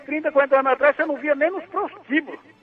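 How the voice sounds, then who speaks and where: A man speaks in an extremely high pitch with lively intonation over noticeable background noise. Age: 70s. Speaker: caller. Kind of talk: phone-in chat. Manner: halting.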